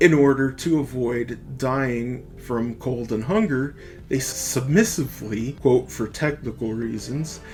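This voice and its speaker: With music in the background, a man with an American accent speaks very slowly at a medium pitch with ordinary pitch variation. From United States. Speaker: podcast host. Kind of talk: political essay reading.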